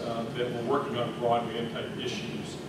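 Through loud background noise and audible room echo, a man can be heard talking. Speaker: conference presenter. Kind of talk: conference presentation. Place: hall.

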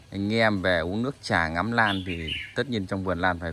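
A man's very deep, low voice at a moderate pace, fairly even in intonation, over light background noise. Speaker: orchid seller. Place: garden. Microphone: phone near.

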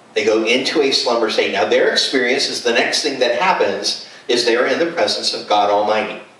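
A fairly quick delivery with hardly any pauses, in audible room echo. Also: man. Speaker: preacher. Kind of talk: sermon. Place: home room.

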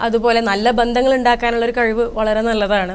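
A woman speaks with a high pitch. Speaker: corporate trainer and marketing manager. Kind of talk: interview. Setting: studio.

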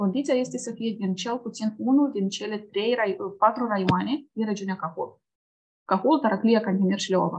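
Her voice is fairly high and somewhat breathy, with ordinary pitch variation at a moderate pace. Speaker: program coordinator. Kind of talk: online information session, presentation. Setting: video call. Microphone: webcam.

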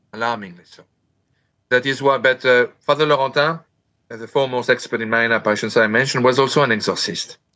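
Against a quiet background, a man speaks at a fairly quick pace with fairly even intonation, big swings in loudness and long, frequent pauses. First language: French. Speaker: author on Marian apparitions; interview guest. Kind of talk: interview. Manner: fast. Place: home room. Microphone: video call.

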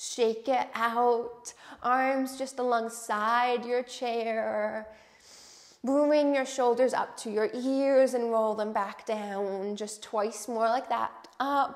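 A woman talks at a very slow pace in a calm, soothing tone with a fairly high pitch. Her intonation is monotone and flat, over a quiet background. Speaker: yoga instructor. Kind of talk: guided chair yoga class with breathing and meditation cues. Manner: calm, slow, soothing and gentle; encouraging, welcoming and inclusive. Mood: calm, encouraging. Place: home room. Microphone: lapel.

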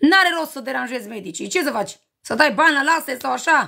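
A woman projects a raised, high voice with a bright, sharp tone and an animated delivery. She keeps a moderate pace against a quiet background. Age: 40s. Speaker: livestreamer selling cosmetics. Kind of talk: live stream chat with viewers. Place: home room. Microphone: phone near.

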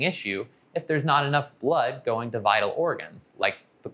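A man delivers his words at a moderate pace with lively intonation. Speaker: anesthesia physician educator. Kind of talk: educational explainer. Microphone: lapel.

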